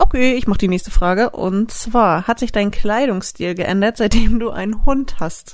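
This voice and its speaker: Using an unremarkable speaking voice, a woman talks at a fairly slow pace with a medium pitch and ordinary pitch variation. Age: 20s. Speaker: dog photographer and co-host. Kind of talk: casual chat.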